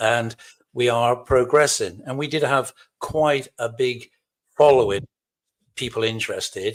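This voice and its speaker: Fairly slow, fairly even speech from a man of medium pitch with a Cornish accent. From Cornwall, England. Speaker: lodge officer, military veteran. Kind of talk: podcast interview.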